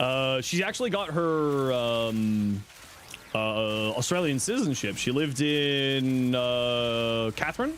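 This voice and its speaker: Speaking very slowly with a slight Canadian accent, a man at medium pitch keeps his loudness very even and his pitch variation ordinary, amid noticeable background noise and audible room echo. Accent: slight Canadian accent, shows on 'out'. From Southern Ontario, Canada. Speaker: gaming streamer. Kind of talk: live stream chat while gaming. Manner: casual, many filler words.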